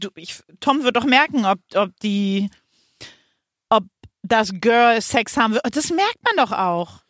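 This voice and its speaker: A woman speaks at a very slow pace, with long, frequent pauses and lively intonation at a fairly high pitch. The sound is dry and close, with no echo. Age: 50s. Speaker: radio host's mother, dating advice. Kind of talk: casual chat.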